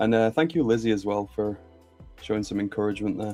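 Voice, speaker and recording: A man with a Birmingham accent, medium pitch and monotone, flat intonation, with music in the background. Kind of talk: casual, friendly, addressing viewers.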